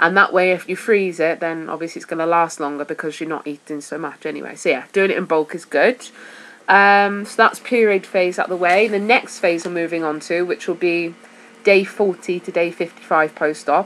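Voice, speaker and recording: A woman with a Welsh accent and a fairly low pitch keeps a fairly even intonation, though her loudness swings widely. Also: moderate pace. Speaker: vlogger sharing weight-loss surgery diet. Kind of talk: casual vlog talk. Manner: hesitant, with fillers.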